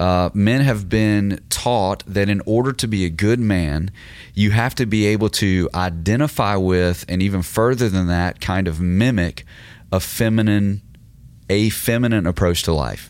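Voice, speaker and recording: With an ordinary speaking voice, a man speaks fairly slowly at a fairly low pitch, with ordinary pitch variation and very even loudness. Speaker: podcast host and teacher. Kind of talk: casual discussion with a sermon-like teaching.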